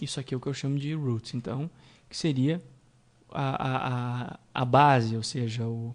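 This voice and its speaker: Over a quiet background, a man talks with a southern Brazilian accent. His pace is fairly slow. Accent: southern Brazilian (gaúcho). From Rio Grande do Sul, Brazil. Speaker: programming instructor. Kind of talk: tutorial.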